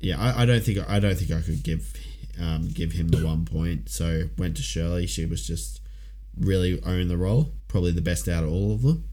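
Over noticeable background noise, the speaker talks at a moderate pace with an Australian accent and very wide pitch swings. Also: man, very deep, low pitch for a man. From Ipswich, Queensland, Australia. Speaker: podcast co-host. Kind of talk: casual chat.

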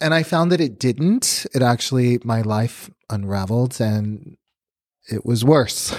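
A man with an American accent has an unremarkable speaking voice at a medium pitch, on a very clean recording with a silent background. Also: fairly slow pace. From Chicago, then South Texas (McAllen). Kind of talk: testimony.

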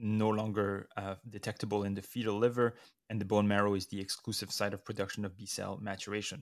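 A man's voice, fairly low in pitch. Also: very clean recording, silent background. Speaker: neonatologist podcast host. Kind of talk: educational review discussion. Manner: mellow.

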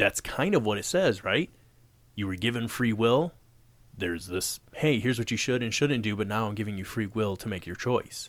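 A man talks at a moderate pace in a normal speaking voice of medium pitch. The recording is very clean with a silent background. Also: ordinary pitch variation. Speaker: podcast host. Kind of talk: casual podcast chat.

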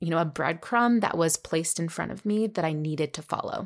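In a very clean recording with a silent background, a woman speaks in a fairly low pitch with ordinary pitch variation. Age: 30s. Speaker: wellness podcast host and health coach. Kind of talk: solo podcast monologue. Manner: animated.

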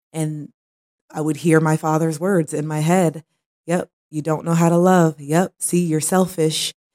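A woman speaks fairly slowly in a very deep, low voice, her tone dark and mellow and her intonation flat and monotone, recorded dry and close with no echo. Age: 30s. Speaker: podcast host. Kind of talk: personal monologue.

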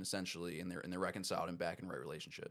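With an American accent, a man is talking. His voice sits very deep and low. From US Mid-Atlantic, Baltimore County, Maryland. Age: 20s. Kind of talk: casual interview chat.

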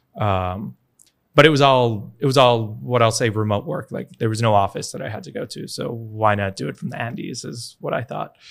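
With an American accent and an unremarkable speaking voice, a man talks at a moderate pace and medium pitch, his lively intonation and big swings in loudness captured in a very clean recording with a silent background. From New York, US. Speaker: bitcoin education nonprofit founder. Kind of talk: interview conversation.

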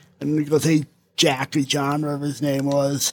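A man talks at a moderate pace with a New Jersey accent. The recording is very clean and silent in the background, with a dry, close sound and no echo. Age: 40s. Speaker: recovering alcoholic, former police officer. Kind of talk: casual chat.

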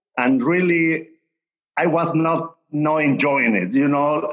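Fairly high-pitched male voice at a fairly slow pace. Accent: Spanish. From Mexico City. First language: Spanish. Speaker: tequila brand ambassador. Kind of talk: casual chat. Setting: video call.

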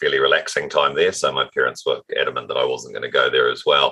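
A man with a New Zealand accent uses a raised, projected voice with an extremely high pitch and a bright, sharp tone. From New Zealand, Auckland North Shore. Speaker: automotive retail executive. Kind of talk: interview.

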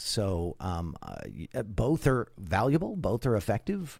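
The recording is very clean with a silent background. A man speaks at a fairly slow pace with very wide pitch swings. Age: 50s. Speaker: spiritual teacher and coach. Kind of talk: interview.

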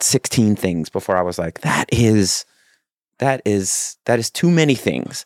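Against a silent background on a very clean recording, a man speaks in a plain, everyday voice at a fairly low pitch and moderate pace, dry and close with no echo. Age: 40s. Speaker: podcast host and newsletter writer. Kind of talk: solo podcast monologue. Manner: casual, frequent filler words.

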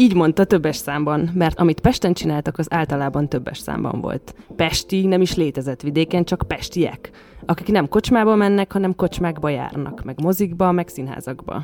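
A woman with a plain, everyday voice speaks at a moderate pace and fairly low pitch, with ordinary pitch variation. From western Hungary, Sopron county village. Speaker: podcast co-host. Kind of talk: casual chat.

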